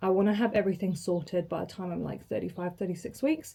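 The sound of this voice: A woman speaks at a medium pitch. Her tone is dark and mellow.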